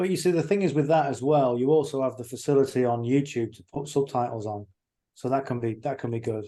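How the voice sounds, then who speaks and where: Against a quiet background, a man with an English accent talks at a very fast pace in a medium pitch, with a dark, mellow tone and ordinary pitch variation. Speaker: online marketing mentor. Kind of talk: video call with live interpretation. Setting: video call.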